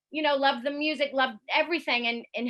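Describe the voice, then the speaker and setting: A woman talks at a fairly quick pace. She has a Southern US accent. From US South, Columbia, South Carolina. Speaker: foreign correspondent, radio journalist. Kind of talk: public talk with slideshow. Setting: online event.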